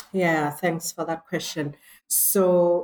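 A woman with a normal speaking voice talks with fairly even intonation. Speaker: academic and poet. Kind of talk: scholarly discussion.

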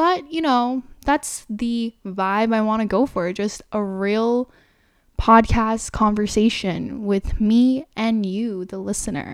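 A woman with an American accent speaks very slowly in a relaxed tone, her fairly high pitch showing ordinary variation. The recording is very clean, with a silent background. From New York. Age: 20s. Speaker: lifestyle podcaster. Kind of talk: solo casual monologue. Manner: chill, relaxed.

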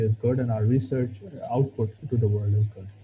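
A man speaks at a medium pitch in a somewhat breathy voice, his intonation monotone and flat. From Pakistan. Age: 20s. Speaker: PhD student in chemical engineering. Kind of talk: interview. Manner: hesitant, many fillers and repeats.

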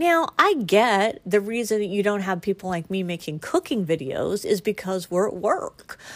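Delivered in a normal speaking voice, the speech moves at a moderate pace with lively intonation and hardly any pauses. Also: woman, medium pitch for a woman. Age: 50s. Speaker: podcast host. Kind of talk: casual monologue.

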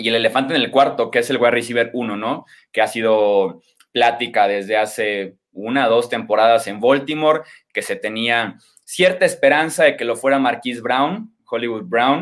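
The recording is very clean, with a silent background. A man speaks in an ordinary speaking voice at medium pitch with ordinary pitch variation. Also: moderate pace. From Mexico, Guadalajara, Jalisco. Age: 20s. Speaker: sports journalist and analyst. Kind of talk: podcast interview, sports analysis.

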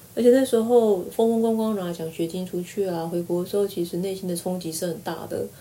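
A woman speaks very fast at a medium pitch, with ordinary pitch variation. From Taiwan. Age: 40s. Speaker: university lecturer. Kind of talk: casual interview.

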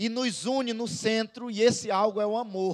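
At a fairly slow speed, the man talks with ordinary pitch variation. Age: 30s. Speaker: pastor. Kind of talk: sermon.

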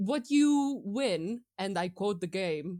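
A woman speaks very slowly in a dark, mellow tone with lively intonation. The recording is very clean, with a silent background. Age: 20s. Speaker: podcast guest, gamer. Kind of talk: casual chat.

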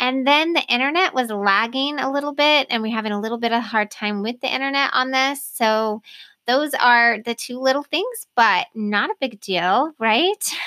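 High-pitched woman, bright and sharp in tone, ordinary pitch variation, moderate pace with hardly any pauses, dry and close with no echo, very clean recording and silent background. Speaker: podcast host. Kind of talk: interview conversation. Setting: internet call. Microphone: new mic too close, popping P's and T's.

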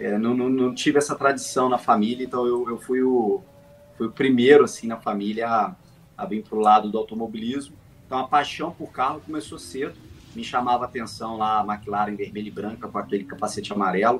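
There is noticeable background noise as a man talks at a fairly quick pace. His pitch is medium, with ordinary variation. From Brazil, Volta Redonda, interior of Rio de Janeiro state. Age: 30s. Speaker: sim racing driver. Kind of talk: interview. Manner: halting, frequent repetitions.

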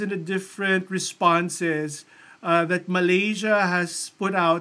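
A man's raised, projected voice, high in pitch, with a bright, sharp tone. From Philippines. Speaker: religious brother. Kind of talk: presentation talk. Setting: recorded presentation with slides.

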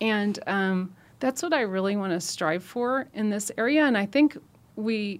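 With an American accent, a woman talks at a fairly slow pace in an unremarkable speaking voice. Her pitch is medium and varies in an ordinary way. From Nebraska, rural US Midwest. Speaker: trauma nurse coordinator. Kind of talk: podcast interview. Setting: studio.

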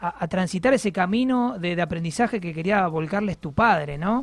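A man's high voice, lively in intonation, at a fairly quick pace. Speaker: radio host. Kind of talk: casual chat. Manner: animated.

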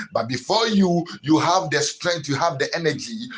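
A man's voice with very wide pitch swings, a moderate pace and noticeable background noise. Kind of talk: sermon. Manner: repetitive, stammering restarts, earnest exhortation; preacherly declarations with anaphora, steady rhythmic cadence.

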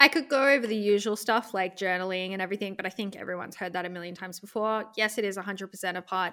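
Very fast and with hardly any pauses, a woman's bright, sharp tone shows big swings in loudness on a very clean recording with a silent background. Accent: Australian. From central Australia. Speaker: e-commerce business consultant. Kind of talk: podcast interview.

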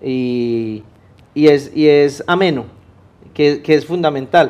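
In a paisa accent, a man speaks at a fairly high pitch. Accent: paisa (Antioquia) Spanish, voseo. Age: young. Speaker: civic activist. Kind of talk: interview. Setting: TV studio. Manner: halting, many repetitions.

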